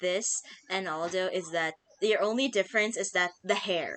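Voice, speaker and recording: A woman speaks with a Filipino accent. Her pace is moderate and her pitch varies in an ordinary way. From Philippines. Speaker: gaming youtuber. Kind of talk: casual chat.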